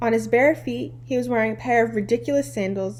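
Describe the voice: What plays is plain reading aloud.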